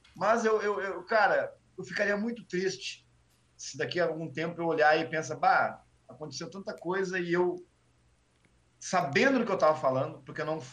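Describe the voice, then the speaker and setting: A man with a southern Brazilian accent, high in pitch, with long, frequent pauses. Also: ordinary pitch variation, moderate pace. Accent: Rio Grande do Sul (gaúcho) Portuguese. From Porto Alegre, Brazil (Sarandi). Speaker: history teacher and stand-up comedian. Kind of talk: casual chat. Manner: animated.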